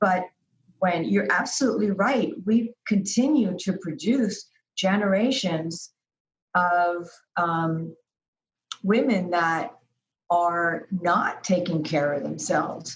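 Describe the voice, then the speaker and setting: Somewhat breathy and fairly low in pitch, a woman speaks at a very slow pace with long, frequent pauses. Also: lively intonation. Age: 70s. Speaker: healthy lifestyle designer. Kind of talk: interview answer.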